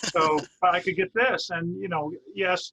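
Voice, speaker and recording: Heard in a dry, close recording with no echo, the man's voice has a bright, sharp tone. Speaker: interviewer. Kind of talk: interview. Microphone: recorder's built-in microphones.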